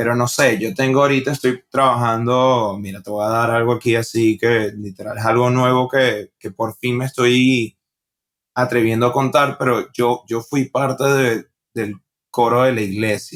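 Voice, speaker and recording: A man with a Venezuelan accent, medium pitch and monotone, flat intonation. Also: fairly slow pace. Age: 20s. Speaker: stand-up comedian. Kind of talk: podcast interview. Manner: casual.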